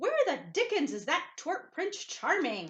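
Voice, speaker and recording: A woman speaks loudly in a put-on character voice with an extremely high pitch. Her pace is fairly slow. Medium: read story. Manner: blustering, loud.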